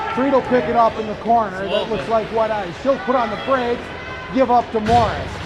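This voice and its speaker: With an American accent, a man talks at an extremely high pitch with ordinary pitch variation over noticeable background noise. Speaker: amateur play-by-play announcer. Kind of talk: live commentary. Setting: ice arena. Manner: loud.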